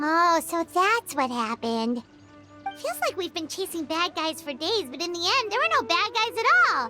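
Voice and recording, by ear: A cartoonish character voice at an extremely high pitch, with clear music playing in the background. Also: moderate pace.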